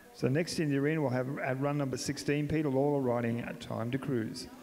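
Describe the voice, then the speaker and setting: With an Australian accent and ordinary pitch variation, a man speaks amid audible room echo and noticeable background noise. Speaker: arena announcer. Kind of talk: live commentary.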